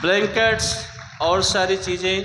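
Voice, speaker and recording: A man speaks in a raised, projected voice with monotone, flat intonation. Noticeable background noise runs under him. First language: not Hindi; learned Hindi later (speaking Hindi). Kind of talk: speech to a camp audience.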